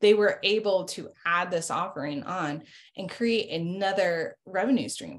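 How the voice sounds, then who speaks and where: Against a quiet background, a woman with an ordinary speaking voice talks at medium pitch and a moderate pace, with ordinary pitch variation and big swings in loudness. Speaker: marketing executive. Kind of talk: casual business interview. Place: home room. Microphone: video call.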